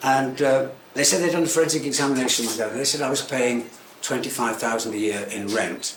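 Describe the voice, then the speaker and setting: A man with an English accent speaks at a fairly quick pace and medium pitch with ordinary pitch variation, amid noticeable background noise and audible room echo. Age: 70s. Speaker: tailor and menswear shop owner. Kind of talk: talk to live audience. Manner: halting; cheerful.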